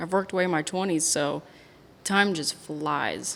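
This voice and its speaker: A woman speaks with a fairly low pitch. Her pace is moderate and her intonation fairly even. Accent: American. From Indiana, US Midwest (Terre Haute area). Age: 20s. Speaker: bar owner. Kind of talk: casual chat. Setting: in a bar.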